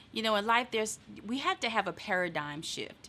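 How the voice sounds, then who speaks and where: Bright and sharp in tone, a woman with a Southern US accent speaks in a very clean recording with a silent background. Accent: Southern twang. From eastern North Carolina. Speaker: motivational speaker. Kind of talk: casual chat.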